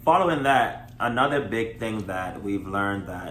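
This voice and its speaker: There is audible room echo as a man speaks at a fairly low pitch with ordinary pitch variation. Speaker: married vlogger. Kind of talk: casual chat. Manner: loud.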